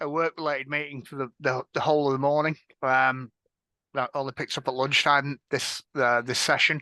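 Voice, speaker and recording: In an Edinburgh accent, a man with a fairly high pitch and a bright, sharp tone talks at a moderate pace with fairly even intonation, his voice dry and close with no echo against a quiet background. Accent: Scottish (Edinburgh). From Scotland, Edinburgh. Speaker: panel moderator, information security director. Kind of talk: panel discussion moderation. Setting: stage with audience at a conference.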